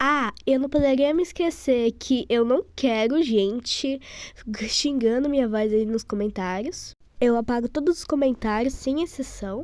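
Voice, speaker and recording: At a very slow pace, a woman talks in a high pitch with lively intonation on a very clean recording, silent background. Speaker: video creator. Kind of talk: casual vlog talk.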